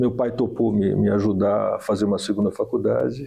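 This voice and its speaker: The speaker is a man. His delivery comes at a moderate pace. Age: 60s. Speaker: doctor. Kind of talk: podcast interview. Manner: hesitant, many fillers.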